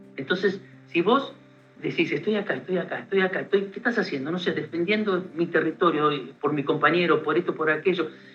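Ordinary pitch variation at a fairly quick pace. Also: man, high pitch for a man. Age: 50s. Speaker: war veteran. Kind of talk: interview testimony.

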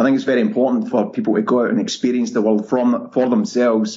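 A man with a strong Scottish accent. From Scotland. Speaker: travel blogger. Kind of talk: casual interview chat.

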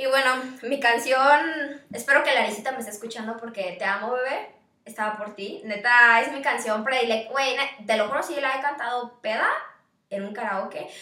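A woman talks fairly quickly at a fairly high pitch with ordinary pitch variation. Audible room echo surrounds her voice. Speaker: podcast co-host, university student. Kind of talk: casual chat.

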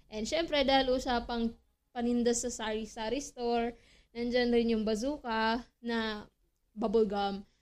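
A woman with a plain, everyday voice speaks at a fairly slow pace. Her fairly high pitch holds fairly even intonation in a very clean recording with a silent background. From Philippines. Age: 20s. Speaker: podcast host. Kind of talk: casual solo chat.

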